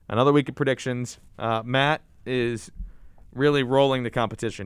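This man has an ordinary speaking voice, medium in pitch, with fairly even intonation. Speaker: college radio sports show host. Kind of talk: casual sports chat.

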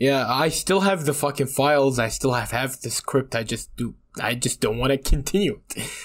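With an ordinary speaking voice, a man talks at medium pitch and a moderate pace, with ordinary pitch variation and hardly any pauses. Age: 20s. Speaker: podcast co-host. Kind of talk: casual chat.

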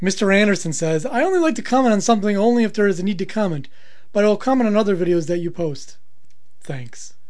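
Over noticeable background noise, a man speaks very fast at a high pitch with lively intonation. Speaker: podcast co-host. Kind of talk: casual comedic banter.

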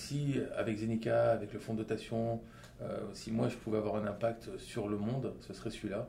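A man talks with fairly even intonation. His moderate pace is heard with audible echo from the room. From Lebanon and Saudi Arabia, then France. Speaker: entrepreneur. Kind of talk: interview. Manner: halting, with many fillers.

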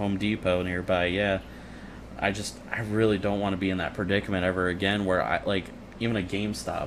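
A man with a normal speaking voice, fairly low in pitch, at a fairly quick pace with fairly even intonation. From Illinois. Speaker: podcast guest. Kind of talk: casual chat.

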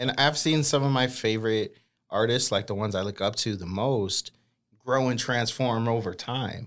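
With an American accent, a man talks at a moderate pace in an unremarkable speaking voice of medium pitch, with ordinary pitch variation, on a very clean recording with a silent background. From Boston, US. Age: 30s. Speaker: educator and hip-hop artist. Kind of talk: casual interview. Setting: studio.

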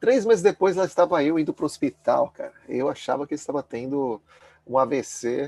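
Speaking at a very fast pace, a man comes through with a dry, close sound and no echo. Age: 40s. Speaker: former finance professional turned minimalist lifestyle advocate. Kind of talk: casual interview chat. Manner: halting, many fillers and repetitions.

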